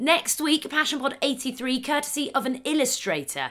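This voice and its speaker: On a very clean recording with a silent background, a woman uses a raised, projected voice with a bright, sharp tone and high pitch. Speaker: podcast host. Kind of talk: casual interview chat.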